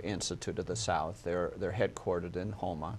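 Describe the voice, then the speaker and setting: This man has an American accent. His intonation is monotone and flat. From Minnesota. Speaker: hospital executive. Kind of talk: interview.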